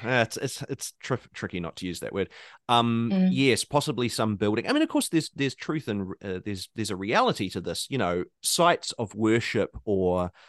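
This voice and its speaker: A man with a New Zealand accent at medium pitch, fairly slow in pace, with lively intonation and hardly any pauses, over a quiet background, in a dry, close sound with no echo. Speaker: podcast host.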